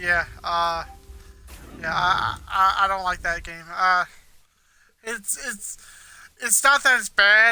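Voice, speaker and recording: A raised, projected voice with fairly even intonation. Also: man. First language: not English. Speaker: gaming streamer. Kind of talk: live gameplay commentary. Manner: mumbles some words; halting, repeats words.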